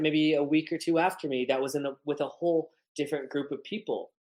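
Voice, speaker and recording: A loud, high-pitched male voice at a fairly quick pace, in a very clean recording with a silent background. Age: 30s. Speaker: photographer and long-distance hiker. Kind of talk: podcast interview. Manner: halting, filler-heavy.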